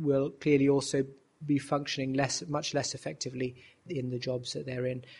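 A somewhat breathy man's voice, fairly high in pitch. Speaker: rheumatologist. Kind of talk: interview.

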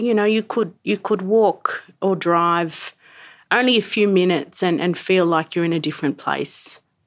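A woman talks at a moderate pace with an Australian accent and a medium pitch. The recording is very clean, the background silent. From Sydney, Australia. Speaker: cultural practitioner and researcher. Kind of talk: casual chat.

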